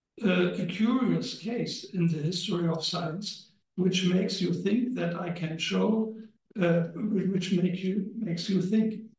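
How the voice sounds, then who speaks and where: In a room with audible echo, a man with a high voice talks at a fairly slow pace. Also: fairly even intonation. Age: old. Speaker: historian. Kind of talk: lecture. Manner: halting.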